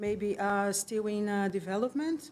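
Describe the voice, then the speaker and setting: A woman with a Brazilian accent speaks at a medium pitch and a moderate pace. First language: Portuguese. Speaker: conference presenter, museum researcher. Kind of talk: conference presentation. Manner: hesitant, many fillers.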